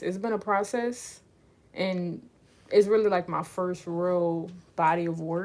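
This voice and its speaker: A woman's relaxed, medium-pitched voice with a New Orleans accent, in a very clean recording with a silent background. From New Orleans, Louisiana. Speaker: livestreamer and aspiring author. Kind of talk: casual livestream chat. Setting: live stream. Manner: relaxed, chatty with fillers.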